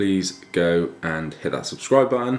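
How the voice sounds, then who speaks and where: With an English accent, a man talks at a fairly slow pace in a very deep, low voice against noticeable background noise. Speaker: fitness vlogger. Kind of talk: casual vlog. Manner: speaking quietly.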